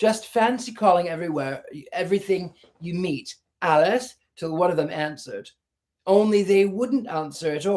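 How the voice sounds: Over a quiet background, someone reads in a natural voice.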